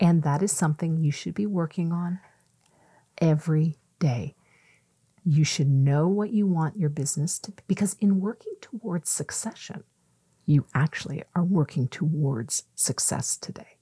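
A woman with a Canadian accent speaks at a moderate pace in a fairly low, dark, mellow, somewhat breathy voice, the sound dry and close with no echo. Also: ordinary pitch variation. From Ontario, Canada (Mississauga). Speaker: entrepreneur and former journalist. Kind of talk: casual interview. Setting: podcast studio.

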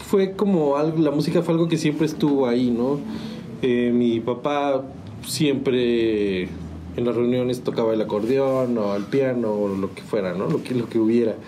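Very wide pitch swings mark this man's speech, recorded with audible room echo. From Mexico, San Juan del Río, Querétaro. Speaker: musician. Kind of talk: interview. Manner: halting, repeats words.

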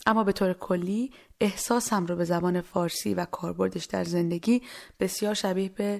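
A woman with an ordinary speaking voice, medium pitch and fairly even intonation at a moderate pace, in a very clean recording with a silent background. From Iran. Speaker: podcast host. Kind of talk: personal storytelling and poetry reading.

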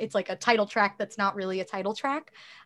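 On a very clean recording with a silent background, a woman speaks at a medium pitch. Her intonation is lively. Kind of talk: interview.

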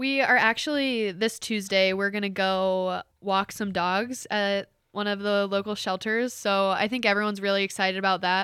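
A woman with a Midwestern American accent and a bright, sharp tone speaks at a moderate pace with hardly any pauses. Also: medium pitch for a woman, fairly even intonation, very clean recording, silent background. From Ohio, Cincinnati area. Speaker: college volleyball player. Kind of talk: interview.

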